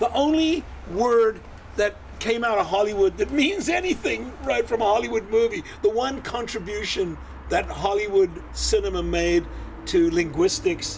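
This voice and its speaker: There is noticeable background noise as a man speaks at a moderate pace. His tone is animated and his loudness very even. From South Africa (Cape Town). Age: 70s. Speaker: film director. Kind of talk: casual chat.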